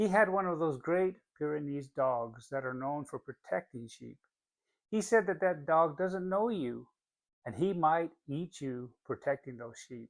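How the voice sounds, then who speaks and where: Loudness swings widely and the intonation stays lively at a fairly slow pace, in a dry, close sound with no echo. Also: man, fairly high pitch for a man. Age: middle-aged. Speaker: financial coach. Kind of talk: motivational talk. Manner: relaxed.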